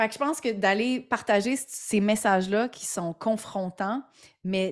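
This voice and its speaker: Intonation is lively while the pace stays very slow. The recording is very clean, with a silent background. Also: woman. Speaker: entrepreneur and podcaster. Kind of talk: interview. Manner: animated; halting.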